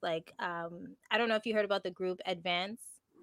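A woman talks fairly quickly in a normal speaking voice with ordinary pitch variation, the sound dry and close with no echo. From Canada. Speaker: radio host. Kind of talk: casual interview chat.

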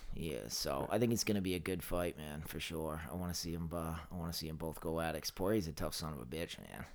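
A man talks at a very fast pace with hardly any pauses. His pitch is very deep and low, with ordinary variation and vocal fry. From Maine, Lewiston area. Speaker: personal trainer and nutritionist. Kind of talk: casual chat.

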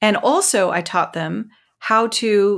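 In a very clean recording with a silent background, a woman with an American accent speaks in a medium pitch with ordinary pitch variation, a plain, everyday voice. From US South, rural Mississippi. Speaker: ethnographer and empathy trainer. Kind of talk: interview conversation.

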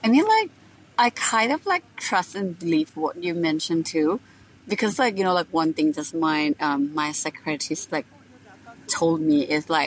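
A woman with a Thai accent at a moderate pace, her pitch varying in an ordinary way. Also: dry, close sound with no echo. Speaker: podcast host. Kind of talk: casual interview chat. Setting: rooftop bar. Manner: halting with many fillers.

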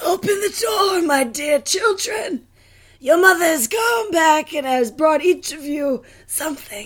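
This is a put-on character voice with a high pitch. It moves at a fairly slow pace. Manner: menacing, coaxing.

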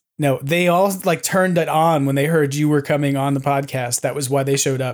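Fairly quick and fairly high in pitch, a man with an American accent uses an ordinary speaking voice with ordinary pitch variation on a very clean recording with a silent background. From New York. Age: 40s. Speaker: podcast host. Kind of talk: casual chat.

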